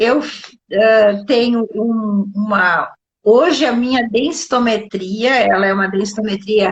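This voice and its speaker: Somewhat breathy and fairly high in pitch, a woman speaks at a fairly slow pace. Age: 60s. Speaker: doctor and nutrition specialist. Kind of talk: live interview on health. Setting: live online broadcast.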